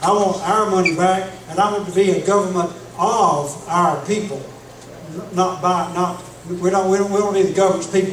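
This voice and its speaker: A man with a Southern US accent and a high pitch, monotone and flat, amid noticeable background noise and audible room echo. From Florida Panhandle (Jackson County). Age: 60s. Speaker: political candidate. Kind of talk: candidate debate speech.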